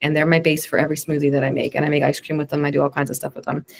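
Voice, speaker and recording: A woman's very deep, low-pitched voice. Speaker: wellness coach leading a juice club reset program. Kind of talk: webinar Q&A instruction. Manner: fast; casual, filler-heavy.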